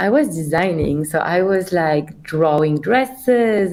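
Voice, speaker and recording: Speaking with a Belgian accent and ordinary pitch variation, a woman is heard over noticeable background noise. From Belgium. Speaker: company CEO. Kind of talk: podcast interview.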